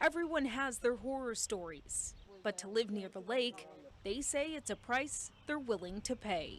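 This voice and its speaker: In an ordinary speaking voice, a woman talks at a fairly high pitch with lively intonation. Her pace is fairly slow. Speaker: TV news reporter. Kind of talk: TV news package narration.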